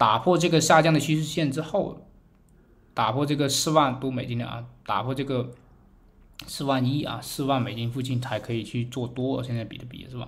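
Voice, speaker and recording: Amid audible room echo, a man speaks at a moderate pace with a medium pitch, fairly even intonation, big swings in loudness and a somewhat breathy voice. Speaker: crypto market commentator. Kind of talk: chart analysis tutorial. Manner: many filler particles (啊).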